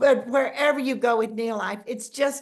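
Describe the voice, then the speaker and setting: Ordinary pitch variation and a moderate pace in a woman's high voice. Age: 70s. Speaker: network marketing distributor. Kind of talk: casual chat. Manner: animated.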